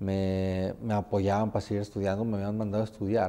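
A man talks at a moderate pace with a fairly low pitch and a dark, mellow tone. The background is quiet. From Mexico (Tempoal, Veracruz). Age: 30s. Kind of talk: interview, casual chat.

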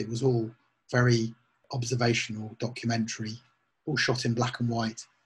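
Somewhat breathy, a man speaks at a moderate pace. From England, Northampton. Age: 50s. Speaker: photographer. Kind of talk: casual chat.

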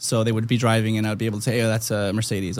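This man speaks with a fairly low pitch. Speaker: custom car shop owner. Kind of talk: casual chat.

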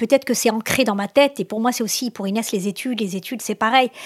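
This is a normal speaking voice with ordinary pitch variation, recorded with a dry, close sound and no echo. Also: woman. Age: 50s. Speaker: parent. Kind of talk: interview testimony.

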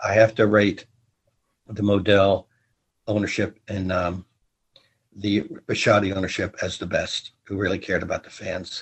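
Pausing long and often, a man speaks in a fairly low, somewhat breathy voice with monotone, flat intonation. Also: moderate pace. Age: 70s. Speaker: marching band leader and sports historian. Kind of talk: interview.

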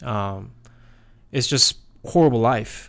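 A man speaks with a Korean accent. The recording is very clean, with a silent background. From South Korea. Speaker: podcast co-host. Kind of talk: casual chat. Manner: halting, many fillers.

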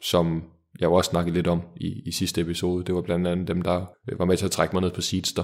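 A man's very deep, low voice moves at a moderate pace in a very clean recording with a silent background. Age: 20s. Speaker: startup founder. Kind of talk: interview.

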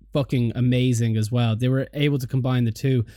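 A man with an Irish accent, medium in pitch with a dark, mellow tone, at a moderate pace on a very clean recording with a silent background. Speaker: podcast host. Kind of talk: casual chat.

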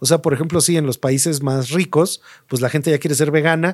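A man with a Mexico City accent talks fairly quickly in a fairly high voice with ordinary pitch variation, recorded very cleanly over a silent background with a dry, close sound and no echo. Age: 50s. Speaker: market research and trend analyst, designer. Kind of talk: interview conversation.

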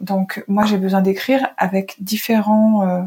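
A woman is speaking. Her pitch is medium. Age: 40s. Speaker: journalist. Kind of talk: interview conversation. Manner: halting, many hesitations.

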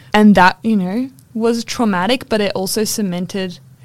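A woman speaks at a moderate pace, her pitch varying in an ordinary way, while noticeable background noise plays behind her. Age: 20s. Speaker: podcast co-host. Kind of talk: casual chat. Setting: library recording room.

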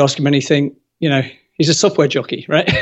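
A man talks in a fairly high pitch. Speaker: construction industry expert. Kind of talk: interview. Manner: animated.

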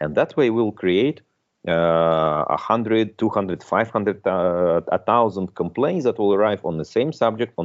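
A man with a Russian accent speaks at a fairly slow pace in a fairly low pitch. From Russia, Moscow. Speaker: tech entrepreneur. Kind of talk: interview. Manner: halting, many repetitions.

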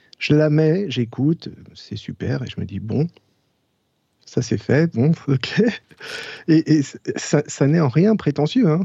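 A fairly high-pitched, somewhat breathy male voice at a very slow pace, broken by long, frequent pauses. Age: 40s. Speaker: jazz trumpeter. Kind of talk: casual interview. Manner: halting.

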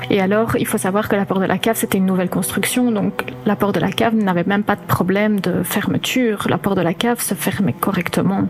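A woman at medium pitch talks at a very fast pace with hardly any pauses and very even loudness. Her pitch varies ordinarily over noticeable background noise. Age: 30s. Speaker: bereaved daughter sharing paranormal experience. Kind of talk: testimony. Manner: halting.

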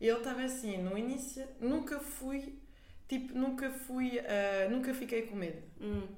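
A woman's high voice with a French accent, fairly slow, with audible room echo. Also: ordinary pitch variation. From France, Paris. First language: French (speaking Portuguese). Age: 20s. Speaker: art director and entrepreneur. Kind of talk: casual chat.

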